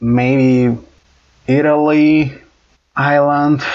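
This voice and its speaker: The speaker is a man. He talks with a Brazilian accent. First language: Portuguese. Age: 20s. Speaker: engineering student. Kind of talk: casual chat.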